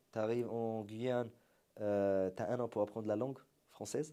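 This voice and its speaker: With an Arabic accent and a dark, mellow tone, a man speaks at a fairly slow pace with fairly even intonation on a very clean recording with a silent background. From Syria. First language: Arabic (speaking French). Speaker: entrepreneur, marketing agency founder. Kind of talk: interview conversation.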